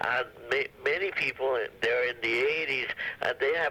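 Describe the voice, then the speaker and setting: Background noise is noticeable throughout. The man's delivery is fairly slow. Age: 70s. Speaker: caller. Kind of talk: phone call question.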